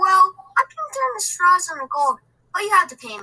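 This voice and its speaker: A woman in a put-on character voice speaks at a moderate pace with extremely high pitch, very wide pitch swings and big shifts in loudness, recorded dry and close with no echo. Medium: read story. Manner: cheerful, playful.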